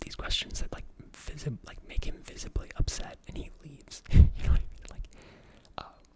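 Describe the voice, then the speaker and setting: Whispering comes at a fairly quick pace. Noticeable background noise is present. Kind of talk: ASMR whisper ramble, casual movie review talk to camera. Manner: whispered, soft-spoken, rambling with filler words.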